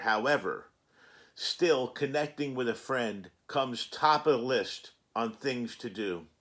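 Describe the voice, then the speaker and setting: A man with a normal speaking voice, mid-range in pitch, at a rather unhurried pace, in a pristine recording with a silent background. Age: 60s. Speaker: cannabis vlogger. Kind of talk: casual vlog monologue.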